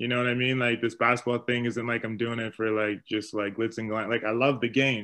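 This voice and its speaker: A man talks at a fairly quick pace with a bright, sharp tone. His medium pitch stays monotone and flat. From Winnipeg, Manitoba, Canada; Ghanaian parents. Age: 30s. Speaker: retired professional basketball player and youth coach. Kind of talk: interview, casual conversation.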